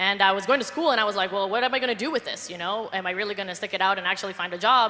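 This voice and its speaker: Speaking at a very fast pace in a Spanish accent, a woman of medium pitch sounds animated, with ordinary pitch variation and noticeable background noise. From Colombia. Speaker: network marketer. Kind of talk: panel testimony.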